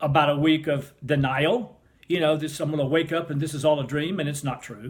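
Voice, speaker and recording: This man's pitch is fairly high, and his voice is somewhat breathy. He talks at a moderate pace. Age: 60s. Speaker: cancer survivor sharing faith testimony. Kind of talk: testimony. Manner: animated.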